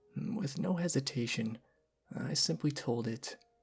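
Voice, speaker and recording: Music plays in the background. Over it, a man speaks with lively intonation. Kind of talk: ASMR horror story reading, soft-spoken. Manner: soft-spoken, whispery.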